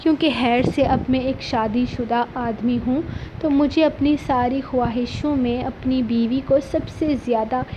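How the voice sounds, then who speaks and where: A woman with a non-native accent speaks in a high pitch with monotone, flat intonation, over noticeable background noise. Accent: non-native Urdu. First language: Pothwari (speaking Hindi). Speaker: novel narrator, channel host. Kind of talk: reading aloud a novel.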